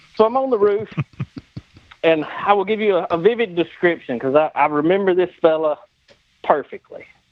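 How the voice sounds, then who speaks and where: A man with a strong Southern US accent talks with long, frequent pauses. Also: ordinary pitch variation, moderate pace. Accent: deep Southern US. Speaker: body shop owner, former insurance adjuster. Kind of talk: casual storytelling.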